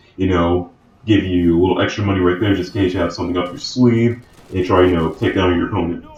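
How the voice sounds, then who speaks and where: A man talks with noticeable background noise in the recording. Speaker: gaming YouTuber. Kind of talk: casual gameplay commentary.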